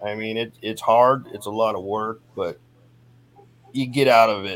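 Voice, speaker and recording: At a moderate pace, a man talks in an ordinary speaking voice with fairly low pitch and ordinary pitch variation. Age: 50s. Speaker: person in addiction recovery. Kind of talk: recovery testimony in casual interview.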